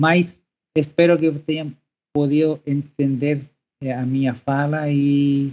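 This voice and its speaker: Speaking at a very slow pace, a man holds a fairly high pitch in monotone, flat intonation. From Chile, Santiago. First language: Spanish (speaking Portuguese). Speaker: professor. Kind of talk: podcast interview. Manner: halting.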